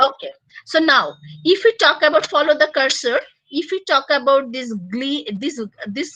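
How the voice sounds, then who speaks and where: With a Bengali accent, a woman speaks fairly slowly in a raised, projected voice, high in pitch and bright and sharp in tone. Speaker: university lecturer. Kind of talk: lecture. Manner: loud; halting.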